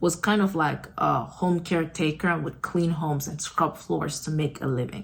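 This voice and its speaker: Somewhat breathy and fairly low-pitched, a woman speaks at a moderate pace with fairly even intonation. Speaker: book discussion host. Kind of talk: casual talk to camera. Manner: hesitant, many filler words.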